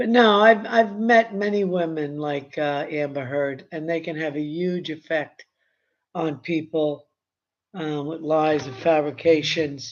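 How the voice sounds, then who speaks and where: This speaker has a New York accent and talks at a fairly slow pace, with big swings in loudness and ordinary pitch variation. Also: woman, very deep, low pitch for a woman. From Brooklyn, New York. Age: 70s. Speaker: YouTube commentator. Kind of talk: casual live stream chat. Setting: live stream. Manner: halting, with many fillers.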